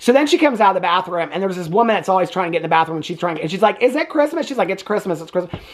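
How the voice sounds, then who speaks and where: Very fast and with hardly any pauses, the speaker uses lively intonation and an animated tone with a Southern US accent over noticeable background noise. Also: man, high pitch for a man. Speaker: movie reviewer, YouTuber. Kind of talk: casual movie review recap.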